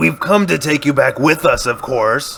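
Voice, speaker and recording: In a put-on character voice, a man speaks raspily at a moderate pace with very even loudness over clear background noise. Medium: audio drama. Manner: scornful, brash.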